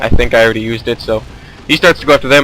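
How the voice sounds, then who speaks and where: A man speaks with fairly even intonation. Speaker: gaming commentator. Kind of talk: gameplay commentary. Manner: fast; casual, with filler words.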